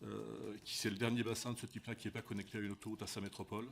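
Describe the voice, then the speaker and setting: A man talks at a very fast pace. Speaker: company executive testifying at parliamentary hearing. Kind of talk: formal testimony at parliamentary commission hearing. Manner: halting, frequent repetitions.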